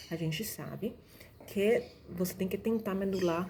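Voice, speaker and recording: A soft-spoken woman at medium pitch, with ordinary pitch variation and a fairly slow pace. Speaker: doctor teaching exam preparation. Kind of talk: tutorial. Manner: casual, with fillers and restarts.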